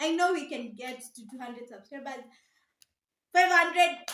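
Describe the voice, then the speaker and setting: A woman speaks in an animated tone with a raised, projected voice at an extremely high pitch. Her tone is bright and sharp, and there is audible room echo. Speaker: vlogger. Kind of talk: casual vlog talk to camera. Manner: loud.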